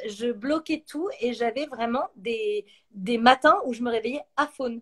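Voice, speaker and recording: The recording sounds dry and close, with no echo. A woman speaks in a high pitch with ordinary pitch variation. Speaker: YouTuber and actress hosting a live chat. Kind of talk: casual chat on a livestream. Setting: live stream.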